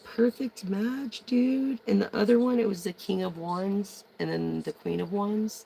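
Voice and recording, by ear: The voice moves at a slow pace, dark and mellow in tone, with a slightly husky edge and vocal fry.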